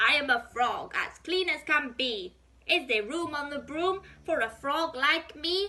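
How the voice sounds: A woman uses a put-on character voice, croaky and high-pitched. She speaks at a fairly slow pace.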